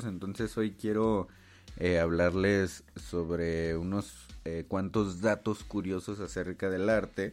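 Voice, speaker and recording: A man is speaking. His pace is fairly slow. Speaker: podcast host and visual artist. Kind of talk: casual solo podcast monologue. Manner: halting, many fillers and repetitions.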